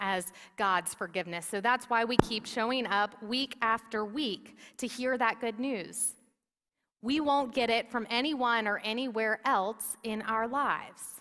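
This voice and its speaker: A woman speaks loudly at a fairly slow pace, with a fairly high pitch and a bright, sharp tone. Her pitch variation is ordinary, and the recording is very clean with a silent background. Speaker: pastor. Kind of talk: sermon. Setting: church. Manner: loud, projecting.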